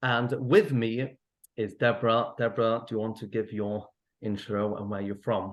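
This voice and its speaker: A man's medium-pitched voice in a Mancunian accent, monotone and flat, at a moderate pace. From northern England, Manchester. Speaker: therapist. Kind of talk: online event talk. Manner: gentle, hesitant with fillers.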